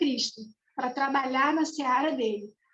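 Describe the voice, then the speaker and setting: A woman's high voice moves along at a fairly slow pace. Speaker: spiritist study presenter. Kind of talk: religious study lecture. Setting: video call.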